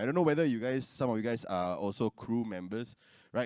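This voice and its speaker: In a Singaporean accent, a man talks at a fairly quick pace with very wide pitch swings. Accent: Singlish. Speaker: content creator. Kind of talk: panel discussion.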